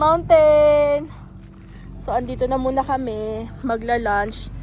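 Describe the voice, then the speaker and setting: A loud, high-pitched woman at a very slow pace, with ordinary pitch variation, audible room echo, and noticeable background noise. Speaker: travel vlogger. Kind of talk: casual vlog chat.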